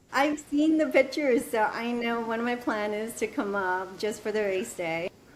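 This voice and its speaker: Speaking in an ordinary speaking voice, a woman keeps a moderate pace with ordinary pitch variation and a fairly high pitch. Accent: American. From New Jersey. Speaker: amateur runner. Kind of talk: podcast interview.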